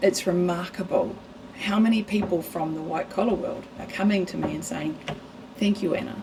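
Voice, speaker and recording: Over noticeable background noise, a woman with a New Zealand accent speaks at a medium pitch with ordinary pitch variation. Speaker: ADHD coach. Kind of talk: podcast interview. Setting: studio. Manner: loud; fast, animated.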